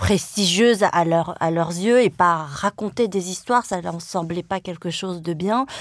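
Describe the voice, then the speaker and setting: A woman speaks with a fairly low pitch and ordinary pitch variation. She keeps a fairly slow pace with hardly any pauses. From France, Le Mans (Sarthe). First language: Vietnamese (forgotten) (speaking French). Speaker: journalist and author. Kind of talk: interview. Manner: hesitant, many fillers.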